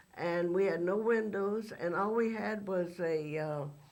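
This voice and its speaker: The speech moves at a fairly slow pace, with audible room echo. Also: woman. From Texas. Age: 70s. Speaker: former actress and studio logo model. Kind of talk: interview. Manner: halting, many fillers.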